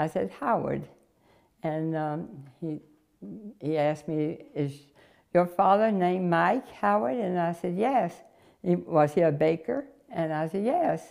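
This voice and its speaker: A woman speaks in a Southern US accent with a fairly low pitch. Her intonation is lively, broken by long, frequent pauses. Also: quiet background. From North Carolina. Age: 80s+. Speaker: interviewee. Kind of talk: life story interview. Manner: halting. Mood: warm, amused. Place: home room. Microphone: lapel.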